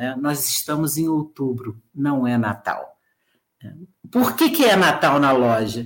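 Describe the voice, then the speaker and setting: Her pitch is very deep and low, and she speaks at a very slow pace. This woman's voice shows ordinary pitch variation. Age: 50s. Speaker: professor of education. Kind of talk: lecture-style talk.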